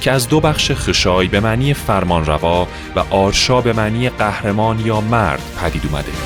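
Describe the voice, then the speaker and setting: Fairly low male voice at a moderate pace, very wide pitch swings, and music in the background. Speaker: voice actor. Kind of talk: history documentary narration.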